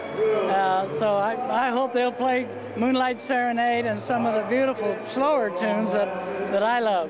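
A man with an American accent speaks high for a man at a fairly slow pace, with ordinary pitch variation and very even loudness. The sound is dry with no echo, and crowd noise is in the background. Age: 80s+. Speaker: war veteran. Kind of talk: interview answer. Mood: warm, friendly, reflective. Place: hall. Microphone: handheld.

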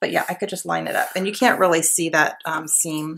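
A woman speaks at a fairly quick pace. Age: 30s. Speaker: scrapbooking YouTuber. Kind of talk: casual chat while crafting. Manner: relaxed, filler-heavy.

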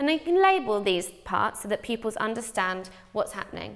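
Behind this woman's speech, the background stays quiet. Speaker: teacher. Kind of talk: tutorial. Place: studio. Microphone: lapel.

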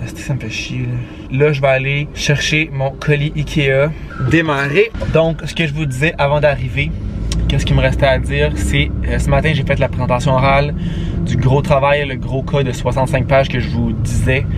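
Speaking at a moderate pace, a man is recorded with a dry sound and no echo. Background noise is noticeable throughout. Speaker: student vlogger. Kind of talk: casual vlog chat. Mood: mildly annoyed. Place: car. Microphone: phone near.

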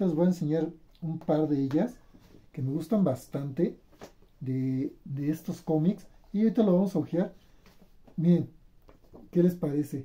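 A man with a fairly high pitch and a dark, mellow tone speaks at a fairly slow pace, with ordinary pitch variation and long, frequent pauses.

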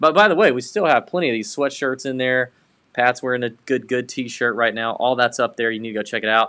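A man with a medium pitch and a bright, sharp tone at a fairly quick pace, quiet background. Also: ordinary pitch variation. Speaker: golf betting podcast host. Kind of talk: casual sports betting chat. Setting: home studio, co-hosts in same room. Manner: animated. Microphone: webcam.

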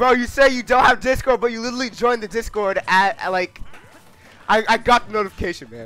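A man talks very fast in an extremely high pitch, his voice raised and projected with big swings in loudness. The tone is bright and sharp, and the sound is dry with no echo. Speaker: gaming livestreamer. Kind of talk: live gameplay commentary. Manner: animated.

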